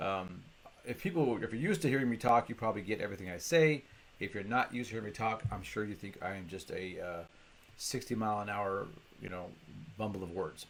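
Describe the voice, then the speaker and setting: Very fast in pace, a man speaks with a fairly low pitch. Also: ordinary pitch variation. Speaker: business coach. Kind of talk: vlog lesson.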